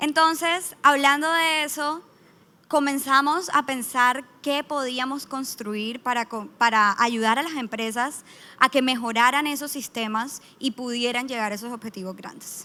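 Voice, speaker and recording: A woman's raised, projected, high-pitched voice with a Colombian accent, bright and sharp in tone, at a fairly slow pace with ordinary pitch variation and big swings in loudness. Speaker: business manager, startup founder. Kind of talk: conference panel talk. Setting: stage with audience.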